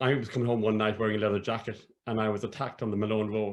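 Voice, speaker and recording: A medium-pitched man in a southern Irish accent at a very fast pace. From Ireland, County Cork. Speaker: academic and storyteller. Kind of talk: interview conversation. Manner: halting.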